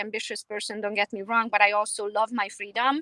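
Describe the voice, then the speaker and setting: A woman speaks at a fairly quick pace with a Romanian accent, her fairly high voice bright and sharp in a dry, close recording with no echo. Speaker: realtor. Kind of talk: interview.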